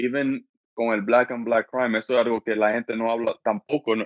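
At a fairly quick clip, a man talks with a medium pitch. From US Northeast, Brooklyn, New York, Dominican parents. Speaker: podcaster and mental health advocate. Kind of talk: casual interview. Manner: halting, many repetitions and fillers.

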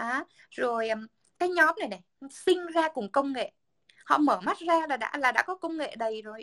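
At a moderate pace, a woman with a high pitch and a bright, sharp tone uses lively intonation, big swings in loudness and long, frequent pauses, with a dry, close sound and no echo. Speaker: podcast co-host, communications professional. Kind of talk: casual chat.

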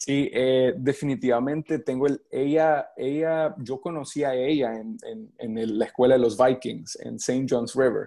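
Against a quiet background, a man with a Salvadoran accent speaks at a fairly slow pace and medium pitch, with a dark, mellow tone, ordinary pitch variation and hardly any pauses. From El Salvador. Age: 20s. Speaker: baseball pitcher and coach. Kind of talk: interview. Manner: halting, many repetitions.

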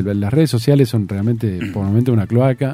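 With music in the background, a man in a Rioplatense accent speaks with ordinary pitch variation. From Argentina, Tandil. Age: 50s. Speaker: radio broadcaster. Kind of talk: interview conversation. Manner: halting, with repetitions.

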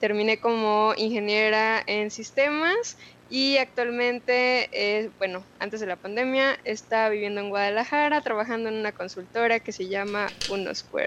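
A woman's fairly high-pitched, fairly slow delivery in an ordinary speaking voice, with fairly even intonation. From Mexico City. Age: 20s. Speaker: tech community leader. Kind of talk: interview.

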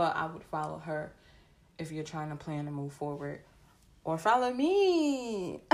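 A woman speaks in an animated tone at a fairly slow pace. She leaves long, frequent pauses. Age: 20s. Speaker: podcast host. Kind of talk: casual motivational monologue.

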